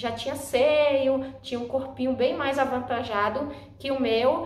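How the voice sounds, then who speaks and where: A woman with a high pitch and fairly even intonation talks at a fairly slow pace, with audible room echo. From Brazil, Northeast. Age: 20s. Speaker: vlogger. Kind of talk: personal vlog talk.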